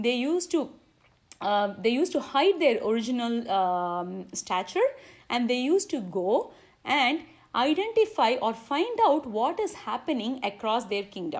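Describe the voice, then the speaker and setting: A woman with a Tamil accent speaks at a fairly slow pace in a high pitch with very wide pitch swings, the background quiet. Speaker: religious speaker. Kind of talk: religious discourse. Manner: halting.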